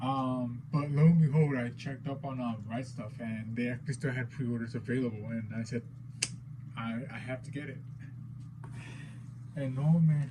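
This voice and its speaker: Speaking with a non-native accent at a moderate pace, a man of medium pitch uses fairly even intonation and long, frequent pauses amid audible room echo. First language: not English. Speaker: figure collector, unboxing youtuber. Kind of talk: unboxing video, casual. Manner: hesitant, many fillers.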